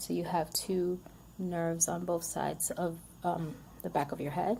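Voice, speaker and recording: Over noticeable background noise, a woman speaks with a fairly low pitch. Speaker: vlogger sharing health experience. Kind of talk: casual personal testimony to camera. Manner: stuttering, word-finding pauses; hesitant, many fillers.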